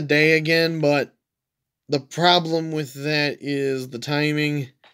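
A man's fairly high-pitched voice. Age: 20s. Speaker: gaming YouTuber. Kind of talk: gameplay commentary. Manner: casual, frequent laughing. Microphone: phone near.

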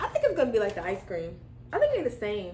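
Audible room echo and light background noise around a woman's voice. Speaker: snack reviewer. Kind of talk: casual vlog chat. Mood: relaxed, cheerful. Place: home room. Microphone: camera far.

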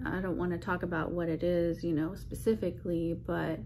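There's noticeable background noise behind a woman's voice. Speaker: vlogger. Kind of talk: casual vlog chat. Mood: subdued, apologetic. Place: home room.

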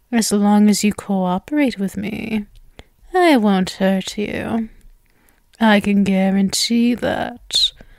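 Quietly and at a very slow pace, a woman puts on a character voice at a medium pitch. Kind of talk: ASMR roleplay, soft close-mic. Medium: audio drama. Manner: sweet, possessive, teasing, quietly menacing.

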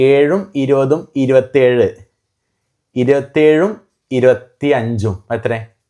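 A man talks at a fairly high pitch in a dark, mellow tone with ordinary pitch variation. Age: 20s. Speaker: family vlogger. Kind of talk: casual chat. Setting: at home.

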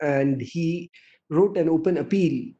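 A man speaks in a dark, mellow tone over a quiet background. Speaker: conference moderator. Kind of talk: opening remarks presentation. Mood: formal, respectful. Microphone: video call.

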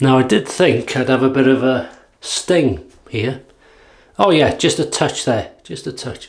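Speaking at a fairly slow pace with a North Welsh accent, a man shows vocal fry and ordinary pitch variation. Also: quiet background. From North Wales. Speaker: YouTube wet shaving reviewer; shaving vlogger. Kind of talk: casual product demo while shaving. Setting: home video recording. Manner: relaxed, chatty with fillers. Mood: relaxed, light-hearted. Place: bathroom. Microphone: phone near.

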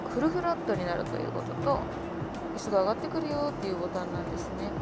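Music plays in the background as a woman talks. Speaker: traveler vlogger. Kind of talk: casual vlog chat. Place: plane. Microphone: phone near.

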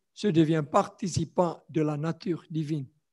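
Everything behind the voice stays quiet. A man speaks very slowly. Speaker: preacher. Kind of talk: sermon. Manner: halting, with repetitions. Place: church. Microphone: handheld.

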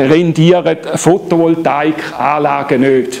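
A man speaks at a very slow pace in a Swiss accent. Light background noise can be heard. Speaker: solar energy company head. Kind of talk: public lecture. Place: hall. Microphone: camera far.

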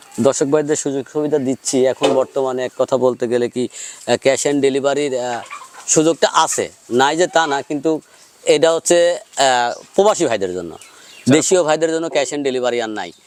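A fairly high-pitched man's voice, dry and close with no echo, amid noticeable background noise. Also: ordinary pitch variation. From Bangladesh, Pabna district. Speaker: cattle farmer and calf seller. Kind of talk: on-farm sales pitch interview.

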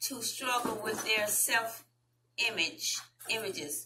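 With a Southern US accent, a woman talks in a bright, sharp tone at a fairly high pitch, with audible room echo around her.

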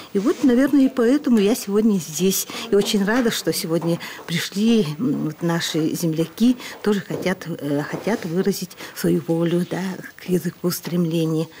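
Someone with a Nenets accent speaks at a moderate pace with lively intonation over light background noise. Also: woman. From Russian North. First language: Nenets (speaking Russian). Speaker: journalist. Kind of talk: interview. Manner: hesitant, with fillers. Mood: warm, pleased. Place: classroom.

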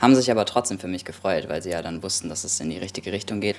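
This man's voice sits at a fairly low pitch. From Kassel, Hesse, Germany. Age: 20s. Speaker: musician. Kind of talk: interview answer. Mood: calm, reflective, personal. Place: home room.

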